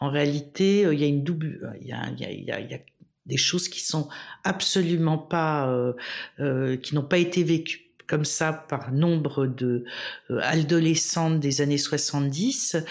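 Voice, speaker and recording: Very deep and low in pitch, a woman speaks at a very slow pace with fairly even intonation and long, frequent pauses. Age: 60s. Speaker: historian and women's rights activist. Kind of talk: interview testimony. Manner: halting, many hesitations.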